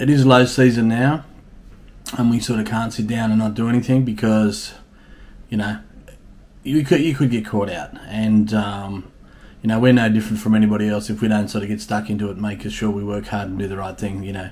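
Speaking at a fairly quick pace, a man has a fairly low pitch and fairly even intonation. It is an unremarkable speaking voice. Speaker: bar owner vlogger. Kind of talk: casual vlog chat. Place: home room. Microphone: webcam.

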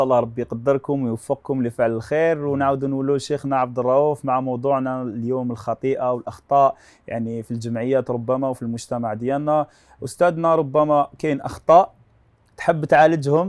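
The man talks at a fairly quick pace with fairly even intonation. The background is quiet. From Algeria. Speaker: TV show host. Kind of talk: TV talk show. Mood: warm, smiling. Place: studio. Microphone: lapel.

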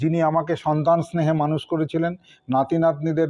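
Pitched fairly high, a man talks in an ordinary speaking voice. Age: 60s. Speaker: vlogger's husband and cameraman. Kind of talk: casual vlog talk to viewers. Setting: at home.

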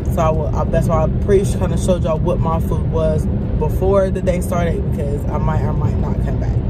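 A woman's voice comes through with a dry sound and no echo, set against loud background noise. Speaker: vlogger. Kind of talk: casual vlog chat. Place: car. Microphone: phone near.

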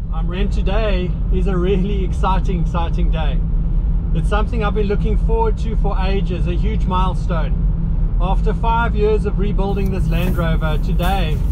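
The talking proceeds at a medium speed. Heavy background noise is present throughout. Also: man. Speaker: vehicle restoration vlogger. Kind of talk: casual vlog chat. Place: car. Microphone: phone near.

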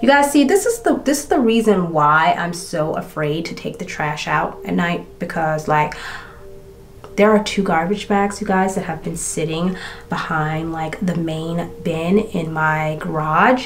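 With light background noise, a woman talks at a fairly slow pace in a fairly low pitch. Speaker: beauty and true crime creator. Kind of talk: true-crime narration while doing makeup, retelling a case in a casual storytelling style. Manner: steady, matter-of-fact narration while recounting case facts.

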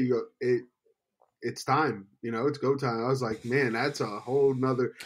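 An unremarkable speaking voice from a man, medium in pitch, with fairly even intonation and a fairly quick pace. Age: young. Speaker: podcast co-host. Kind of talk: casual chat.

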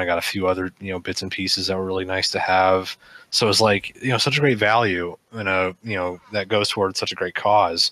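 A man's very deep, low voice with a bright, sharp tone, fairly even intonation and a fairly quick pace, dry with no echo and hardly any pauses. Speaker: podcast co-host. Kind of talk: casual chat. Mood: relaxed, chatty. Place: home room. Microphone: headset.

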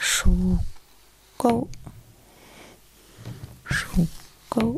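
A woman whispers in a soft-spoken voice. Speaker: ASMR creator. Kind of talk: ASMR soft-spoken Chinese lesson. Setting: close-up studio microphone. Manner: soft-spoken, whispery. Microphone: studio mic.

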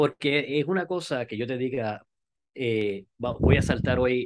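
A man with a Puerto Rican accent speaks at a medium pitch and a fairly slow pace. Noticeable background noise is present. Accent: Puerto Rican Spanish, dropped R's. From Puerto Rico. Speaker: skydiver and amateur radio operator; amateur radio operator. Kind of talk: interview. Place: home room. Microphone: video call.

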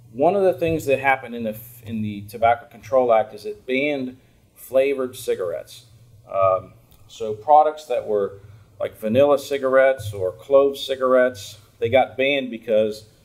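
A man at a moderate pace, with ordinary pitch variation and big swings in loudness. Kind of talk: open message to lawmakers. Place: office. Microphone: camera far.

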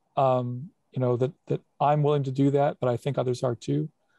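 Dark, mellow tone and monotone, flat intonation at a fairly quick pace over a quiet background. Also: man, dry sound with no echo. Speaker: city council member. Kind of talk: public meeting. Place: home room. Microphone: earbuds.

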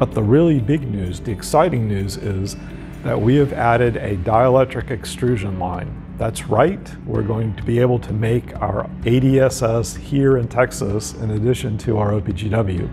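A man at a fairly slow pace, ordinary pitch variation, faint music in the background. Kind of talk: corporate promotional talk. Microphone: lapel.

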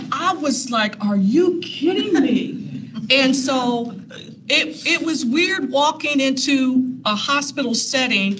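A woman speaks in an American accent, her pitch high. Noticeable background noise runs underneath. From US Midwest, Columbus Ohio west side. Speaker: nurse and clinical instructor; clinical instructor. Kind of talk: personal storytelling talk. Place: meeting room. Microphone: camera far.

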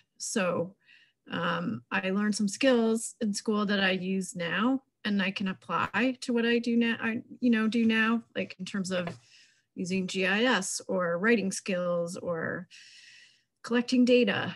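Somewhat breathy, a woman speaks at a very slow pace with an American accent. Her pitch variation is ordinary. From New York. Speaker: wildlife biologist. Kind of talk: panel introduction. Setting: video call. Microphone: video call.

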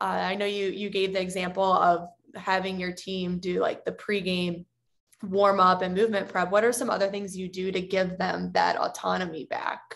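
Against a quiet background, a woman with an American accent speaks at a moderate pace in a monotone, flat intonation. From United States. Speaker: podcast host and youth soccer performance coach. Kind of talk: interview. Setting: video call. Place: home room. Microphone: video call.

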